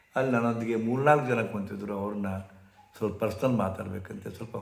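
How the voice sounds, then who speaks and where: A man's fairly even intonation, with audible room echo. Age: 70s. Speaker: spiritual teacher. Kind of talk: storytelling talk.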